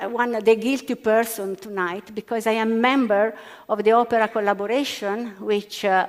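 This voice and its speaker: A woman with an Italian accent talks at a fairly slow pace. The recording is very clean, with a silent background. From Italy. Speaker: physicist. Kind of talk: panel discussion. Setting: stage with audience. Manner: halting.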